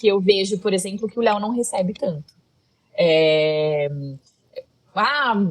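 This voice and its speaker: The speaker has a rural Brazilian accent and ordinary pitch variation. The pace is fairly slow. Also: woman. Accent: Brazilian countryside. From Brazilian countryside. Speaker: content creator. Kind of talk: casual interview chat. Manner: loud.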